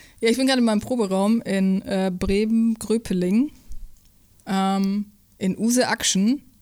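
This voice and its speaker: A very clean recording, silent background, and ordinary pitch variation. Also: woman. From Upper Franconia, Bavaria (Hof), early years Saxony. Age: 20s. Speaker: drummer. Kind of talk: interview. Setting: rehearsal room.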